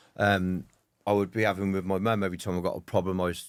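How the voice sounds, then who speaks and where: In a Birmingham accent, a man speaks with a very deep, low pitch and monotone, flat intonation. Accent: Birmingham (Brummie) English. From Birmingham, England. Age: 40s. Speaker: military veteran and mental health speaker. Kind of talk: interview conversation. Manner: hesitant, many fillers.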